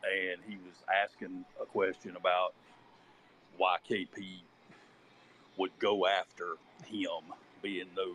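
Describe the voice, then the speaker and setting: A man with a Southern US accent at a very slow pace, with long, frequent pauses and big swings in loudness. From Charlotte, North Carolina. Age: 50s. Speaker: listener in discussion. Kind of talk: panel discussion. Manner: halting.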